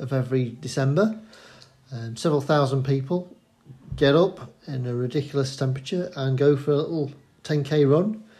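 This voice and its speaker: A man's fairly high, somewhat breathy voice with a dark, mellow tone, in a Yorkshire accent, at a moderate pace with ordinary pitch variation. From Sheffield, Yorkshire. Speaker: local runner. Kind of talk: casual chat.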